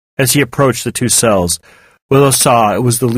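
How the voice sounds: A quiet background surrounds the speaker. What we hear is a natural reading voice.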